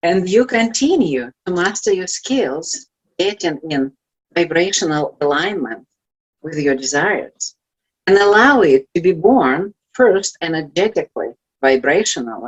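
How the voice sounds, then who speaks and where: A fairly low-pitched woman in a Russian accent, fairly slow, with very wide pitch swings. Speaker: life coach. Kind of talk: motivational talk. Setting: virtual event.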